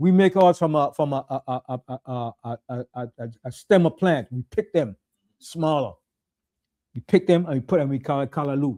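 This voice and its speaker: With an American accent, a man speaks at a moderate pace in a dark, mellow tone, his fairly high pitch showing ordinary variation and big swings in loudness. The sound is dry and close with no echo, in a very clean recording with a silent background. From US Virgin Islands. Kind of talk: casual chat.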